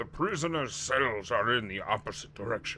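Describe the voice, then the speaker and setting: A man in a put-on character voice swings his pitch very widely at a moderate pace over clear background noise. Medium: game stream. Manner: hearty, urgent, solemn.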